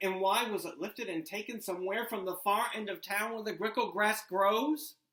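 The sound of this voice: The intonation stays fairly level in this unforced reading voice.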